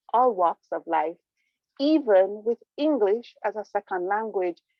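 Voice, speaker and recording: With music in the background, the voice moves through very wide pitch swings. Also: woman. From Jamaica. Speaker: Toastmasters club speaker. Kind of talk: prepared speech.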